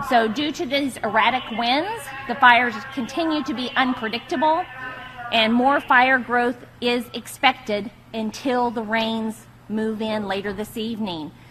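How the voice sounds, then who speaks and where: A woman talks with a high pitch. Music can be heard in the background. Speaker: fire official giving a briefing. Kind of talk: weather and fire-conditions report at an emergency press briefing. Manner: formal, steady and clear, urgent but controlled.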